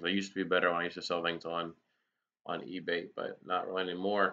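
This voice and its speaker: The man's pitch sits very deep and low, and his delivery stays flat and monotone. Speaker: fishkeeping youtuber. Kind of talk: live stream chat. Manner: words slurred together.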